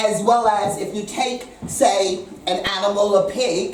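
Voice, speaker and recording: A woman with an American accent talks at a fairly slow pace in a medium pitch. Noticeable background noise and audible room echo fill the recording. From USA. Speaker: chef. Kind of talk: speech to diners; casual vlog talk. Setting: restaurant with audience. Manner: animated.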